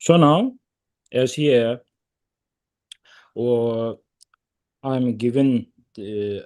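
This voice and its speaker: A man speaks with a Tibetan accent and lively intonation against a quiet background. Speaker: Tibetan Buddhist lama. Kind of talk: dharma teaching. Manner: halting, many fillers.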